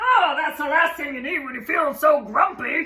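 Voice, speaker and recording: A woman puts on a character voice, speaking high and at a moderate pace. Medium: read story. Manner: friendly, chatty.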